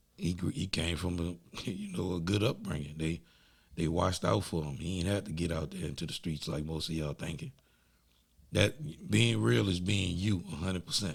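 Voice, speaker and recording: With an American accent and vocal fry, a man with a very deep, low pitch talks at a moderate pace. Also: ordinary pitch variation. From New Orleans, Louisiana. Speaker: podcast host. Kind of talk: casual interview. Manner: animated.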